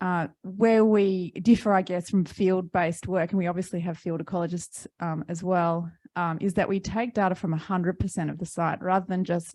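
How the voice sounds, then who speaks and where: A woman with an Australian accent speaks at medium pitch and a moderate pace, with a dark, mellow tone and fairly even intonation, over a quiet background. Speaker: environmental tech company representative. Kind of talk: panel discussion. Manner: hesitant, many fillers.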